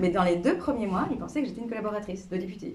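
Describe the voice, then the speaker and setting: A woman talks at a very fast pace. Audible room echo and noticeable background noise surround her. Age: 40s. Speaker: member of parliament. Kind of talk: interview with school pupils. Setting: classroom. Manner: hesitant, many fillers; casual.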